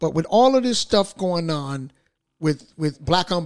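A man talks with lively intonation. His pitch is fairly high. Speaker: radio host. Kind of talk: casual chat. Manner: animated.

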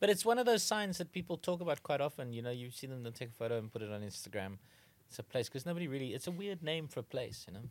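Talking at a very fast pace with very wide pitch swings, a man is heard on a very clean recording with a silent background. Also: medium pitch for a man. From South Africa, Gauteng. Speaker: comedy trivia podcast co-host. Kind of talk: casual comedic chat.

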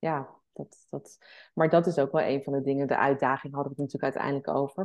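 Against a quiet background, a woman speaks at a very deep, low pitch with fairly even intonation. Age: 40s. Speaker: entrepreneur and travelling mother. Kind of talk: podcast interview.

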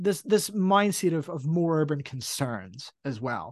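A man talks at a fairly slow pace. His voice is fairly high, with a quiet background. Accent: New Zealand. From New Zealand. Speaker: music podcast co-host. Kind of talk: casual chat.

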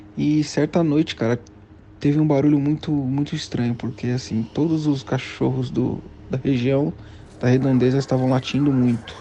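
At a moderate pace, a man speaks in a medium pitch with a dark, mellow tone and fairly even intonation. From São Paulo, Brazil. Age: 30s. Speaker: listener. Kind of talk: recorded personal story. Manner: halting.

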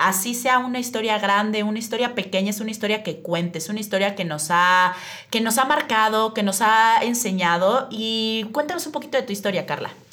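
A woman speaks with lively intonation at a fairly high pitch. Room echo is audible. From Mexico City. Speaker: public relations agency owner, podcast host. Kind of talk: casual podcast conversation.

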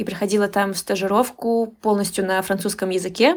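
A woman's voice, a normal speaking voice, pitched in the medium range with fairly even intonation. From Moscow region, Russia. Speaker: Russian language teacher. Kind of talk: casual interview.

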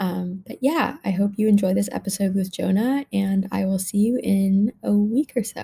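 A woman talks at a moderate pace with hardly any pauses, her medium-pitched voice somewhat breathy and dark and mellow in tone, with ordinary pitch variation. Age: young. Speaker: podcast host. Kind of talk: scripted podcast intro and outro.

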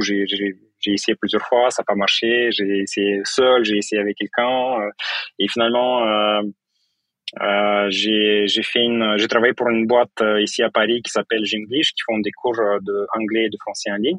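The man's delivery is monotone and flat at a moderate pace. The sound is dry and close, with no echo. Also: fairly low pitch for a man. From Moldova. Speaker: tech startup co-founder and CTO. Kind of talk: interview. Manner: halting.

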